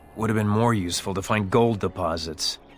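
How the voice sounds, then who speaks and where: Over clear background noise, a man puts on a growling character voice at a fairly low pitch and a fairly quick pace. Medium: video game. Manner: terse, clipped.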